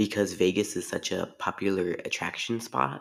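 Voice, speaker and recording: A man speaks with vocal fry. The recording is very clean, and the background is silent. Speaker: podcast host. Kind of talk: solo sports rant podcast. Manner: halting, with fillers and restarts.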